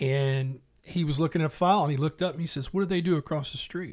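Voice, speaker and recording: Somewhat breathy speech with a Tennessee accent comes at a very fast pace. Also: man. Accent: Southern US (Tennessee). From Middle Tennessee (west of Nashville). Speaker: salesperson. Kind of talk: casual chat. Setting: studio.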